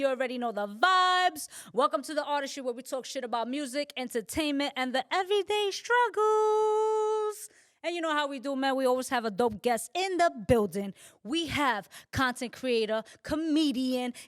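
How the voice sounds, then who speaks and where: A woman speaks at a moderate pace in a high voice with very wide pitch swings. Her tone is upbeat and energetic. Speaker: podcast host. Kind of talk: casual talk show conversation. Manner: upbeat, energetic.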